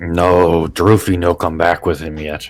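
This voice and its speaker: Using a put-on character voice, a man speaks in a raspy, very deep, low pitch with monotone, flat intonation at a fairly slow pace. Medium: actual play. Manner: broken simple English, dropped articles; slow, blunt.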